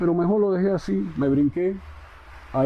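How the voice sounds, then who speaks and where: In a Cuban accent, a man speaks at a fairly high pitch. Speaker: poet. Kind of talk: interview answer. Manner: conversational, direct.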